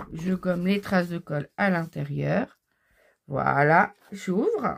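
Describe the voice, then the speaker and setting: A woman speaks at a very slow pace with vocal fry. Her pitch is fairly low, with ordinary variation. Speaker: crafts tutorial youtuber. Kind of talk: tutorial.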